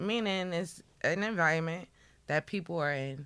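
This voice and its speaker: A New York accent at a moderate pace on a very clean recording with a silent background. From New York area. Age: 20s. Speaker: podcast guest. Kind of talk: casual chat.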